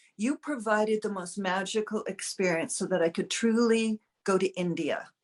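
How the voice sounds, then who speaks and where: A woman with an American accent and an ordinary speaking voice, medium in pitch, fairly even in intonation, at a moderate pace, in a dry, close sound with no echo. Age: 60s. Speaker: client sharing a testimonial. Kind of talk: interview testimonial.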